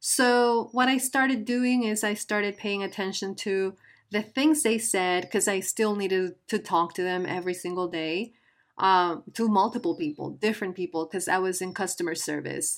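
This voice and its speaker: On a very clean recording with a silent background, a woman with a Spanish accent speaks at a moderate pace, with a medium pitch and ordinary pitch variation. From Guatemala. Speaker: podcast host. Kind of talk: casual monologue. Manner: hesitant.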